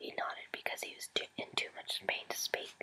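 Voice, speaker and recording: Noticeable background noise fills the clip. Over it, a woman whispers. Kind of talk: whispered story reading to camera. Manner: soft, whispered.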